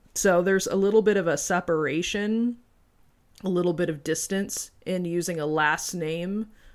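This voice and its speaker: A woman with a plain, everyday voice, fairly low in pitch, at a moderate pace with fairly even intonation on a very clean recording with a silent background. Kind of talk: casual chat.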